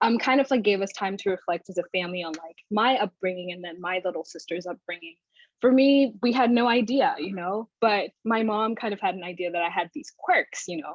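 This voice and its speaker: A plain, everyday voice with an American accent talks at a fairly quick pace with hardly any pauses, ordinary pitch variation and big swings in loudness. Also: woman, medium pitch for a woman. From outside the US. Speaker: graduate student and panel moderator. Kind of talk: panel discussion.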